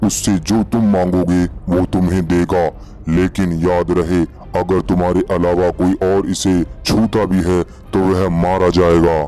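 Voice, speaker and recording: A man's cartoonish character voice, very deep and low, at a fairly slow pace over clear background noise. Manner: grave, commanding.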